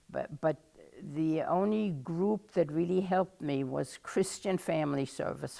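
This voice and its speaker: Speaking at a fairly slow pace with a German accent, a woman uses a dark, mellow tone with vocal fry and ordinary pitch variation. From Germany. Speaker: oral history interviewee. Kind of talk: oral history interview. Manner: halting.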